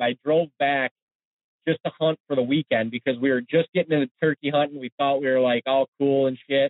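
Talking at a fairly quick pace with an American accent, a man uses a plain, everyday voice, fairly high in pitch with fairly even intonation. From Ohio, Cleveland. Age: 30s. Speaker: hunting web show host. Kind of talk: casual interview chat.

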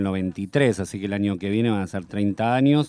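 In a very clean recording with a silent background, the voice has a dark, mellow tone and ordinary pitch variation at a fairly slow pace. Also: man. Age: 50s. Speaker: musician. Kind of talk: radio interview. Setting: studio.

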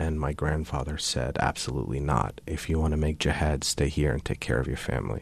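Very fast speech comes from a man with a very deep, low pitch, vocal fry and ordinary pitch variation. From US. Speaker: speaker on tolerance and peace. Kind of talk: interview. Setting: studio.

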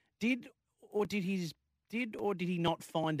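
In an Australian accent, a man speaks on a very clean recording with a silent background. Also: dry, close sound with no echo. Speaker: sports radio host. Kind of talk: sports radio chat.

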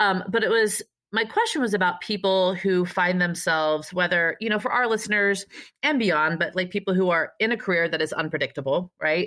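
Keeping her loudness very even, a woman speaks fairly quickly in an ordinary speaking voice, with medium pitch and ordinary pitch variation. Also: quiet background. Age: 40s. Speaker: podcast host, fitness trainer. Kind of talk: casual interview chat. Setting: video call.

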